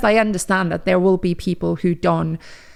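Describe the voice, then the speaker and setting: With a Finnish accent, a woman talks at a fairly quick pace. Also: very clean recording, silent background. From Finland. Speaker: podcast host. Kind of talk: casual monologue. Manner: conversational, with fillers.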